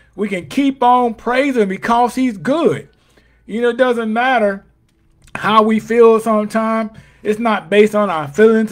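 A man speaks at a high pitch with an animated tone. His pitch moves in an ordinary way. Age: 50s. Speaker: pastor. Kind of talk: sermon.

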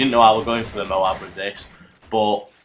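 A man talks at a fairly quick pace with music playing in the background. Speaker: gaming commentator. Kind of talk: gameplay commentary. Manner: casual.

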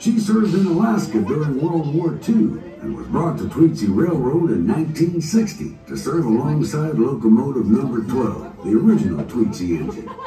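A man talks with hardly any pauses while clear music plays in the background. Room echo is audible. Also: moderate pace. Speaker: train announcer. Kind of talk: scripted safety announcement. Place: train.

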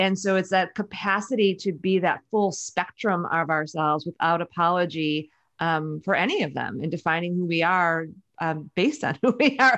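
In an American accent, a woman speaks at a fairly low pitch and a moderate pace. The background stays quiet. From US Midwest, Chicago. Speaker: author and women's leadership advisor; podcast guest. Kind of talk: casual interview chat. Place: home room. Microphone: studio mic.

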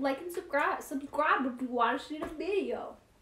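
Amid audible room echo, a woman speaks at a high pitch with a fairly bright tone. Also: ordinary pitch variation, moderate pace.

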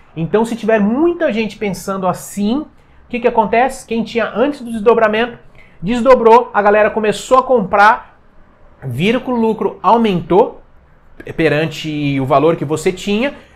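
Energetic and lively in intonation, a man speaks at a high pitch with a Brazilian accent. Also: moderate pace. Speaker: finance YouTuber. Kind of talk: explainer video. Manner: casual, energetic. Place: home room. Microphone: lapel.

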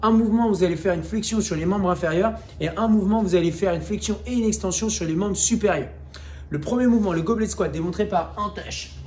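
A man talks at a very fast pace with a high pitch and ordinary pitch variation. Light noise sits in the background. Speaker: fitness coach. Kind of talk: workout tutorial. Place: gym. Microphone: camera far.

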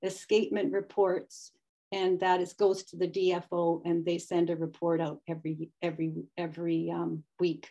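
In a Canadian accent, a woman talks with a dark, mellow tone over a quiet background. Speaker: volunteer stream conservation presenter; presenter. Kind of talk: webinar presentation. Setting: video call. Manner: hesitant, many fillers. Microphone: unstable Wi-Fi connection; video call.

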